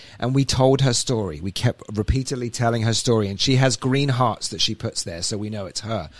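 The speaker is a man with an English accent. His voice sits at a medium pitch. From England. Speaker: podcast host. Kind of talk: casual chat. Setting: studio.

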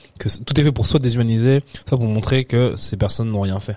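A very fast-talking man with a dark, mellow tone. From France (Picardy, then Nice). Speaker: actor. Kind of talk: casual interview conversation. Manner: animated.

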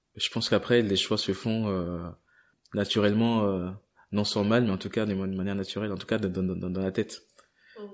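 Intonation is monotone and flat at a moderate pace. Long, frequent pauses break up the speech. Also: man, fairly low pitch for a man. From grew up partly abroad, in France from age 8. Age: 20s. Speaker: corporate employee leaving job to travel. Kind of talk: interview testimony. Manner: halting, many repetitions and fillers.

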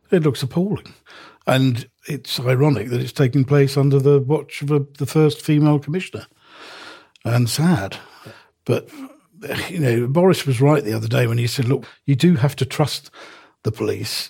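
Pausing long and often, a man speaks in a dark, mellow tone that is somewhat breathy. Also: fairly high pitch for a man, ordinary pitch variation, moderate pace. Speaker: newspaper columnist. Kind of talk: casual chat.

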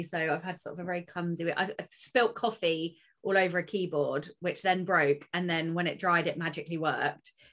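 A woman's fairly low voice in an English accent, at a moderate pace. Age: 30s. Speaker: podcast co-host, author. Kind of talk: casual chat.

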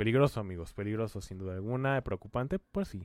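A man's fairly low voice with ordinary pitch variation, in a dry, close sound with no echo. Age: 30s. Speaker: doctor and commentary channel host. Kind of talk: opinion commentary monologue. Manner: halting, many fillers and repetitions.

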